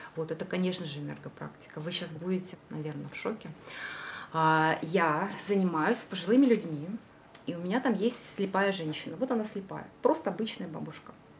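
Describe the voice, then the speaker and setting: Noticeable background noise sits under this recording. A woman talks at a fairly quick pace with ordinary pitch variation. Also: fairly low pitch for a woman, big swings in loudness. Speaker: esoteric practitioner. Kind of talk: casual interview.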